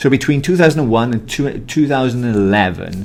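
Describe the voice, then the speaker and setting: A man with a Welsh accent speaks with lively intonation. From Wales. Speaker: podcast host, mediator. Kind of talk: casual chat.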